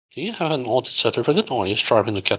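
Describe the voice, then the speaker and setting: A man speaks very fast against a quiet background. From Hong Kong. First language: Cantonese. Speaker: game studio founder. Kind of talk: live Q&A. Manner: halting.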